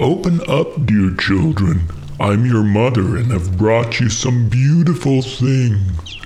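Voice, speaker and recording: A man's put-on character voice at medium pitch and a fairly slow pace, with clear background noise. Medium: read story. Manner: menacing, demanding.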